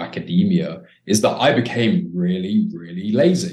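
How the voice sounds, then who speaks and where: A man's medium-pitched voice with a British accent, vocal fry and very wide pitch swings. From Britain. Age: 20s. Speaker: dating coach. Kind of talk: casual chat.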